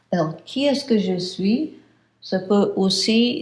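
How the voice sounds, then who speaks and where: A woman speaks at a very slow pace in a somewhat breathy voice. Her pitch varies in an ordinary way. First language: English (speaking French). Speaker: meditation teacher. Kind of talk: lecture. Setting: retreat house. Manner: halting.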